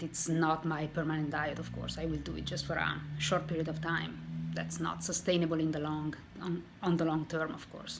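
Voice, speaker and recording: With audible room echo around her, a woman speaks at a moderate speed. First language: not English. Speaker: weight loss vlogger. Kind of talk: casual vlog monologue. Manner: halting, with self-corrections.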